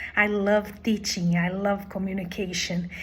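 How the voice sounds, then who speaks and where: A woman with a Portuguese accent speaks very slowly in a somewhat breathy voice. Her intonation is monotone and flat, with audible room echo. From Brazil. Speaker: language teacher. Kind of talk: job application video.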